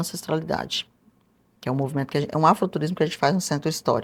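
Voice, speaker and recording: Very deep, low pitch from a woman, her intonation fairly even. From interior of Mato Grosso, Brazil. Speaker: historian and author. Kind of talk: interview.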